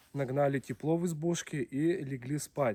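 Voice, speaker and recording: Noticeable background noise sits behind the recording. A man speaks at a fairly high pitch with fairly even intonation. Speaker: video blogger, taiga cabin life. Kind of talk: casual vlog narration. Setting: taiga cabin in the forest.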